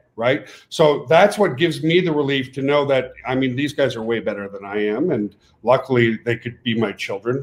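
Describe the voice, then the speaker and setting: A man speaks with a French Canadian accent at a moderate pace. His pitch is medium, with ordinary variation. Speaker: network marketing company owner. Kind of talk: webinar pitch. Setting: webinar. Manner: animated.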